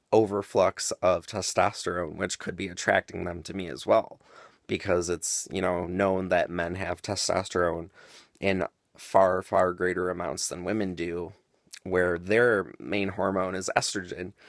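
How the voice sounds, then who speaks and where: A man speaks in a very deep, low voice. He goes at a fairly slow pace with monotone, flat intonation. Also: very clean recording, silent background. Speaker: vlogger. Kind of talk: casual monologue. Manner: hesitant, many fillers.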